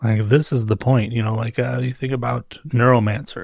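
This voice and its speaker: A man talks at a fairly quick pace in a medium pitch. His voice is somewhat breathy, his intonation fairly even. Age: 40s. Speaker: solo book podcaster. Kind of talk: casual solo monologue. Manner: rambling, hesitant with repetitions.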